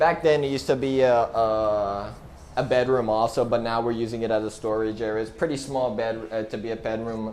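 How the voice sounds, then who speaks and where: In an ordinary speaking voice, a man with an American accent talks at a fairly quick pace, medium pitch and ordinary pitch variation. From United States. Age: young. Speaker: vlogger. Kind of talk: casual talk to camera.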